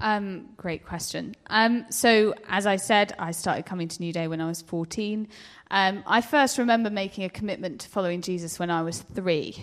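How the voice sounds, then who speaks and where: A woman speaks at a medium pitch with ordinary pitch variation and big swings in loudness. She has a plain, everyday voice. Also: moderate pace. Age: 20s. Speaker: civil servant. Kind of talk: panel interview.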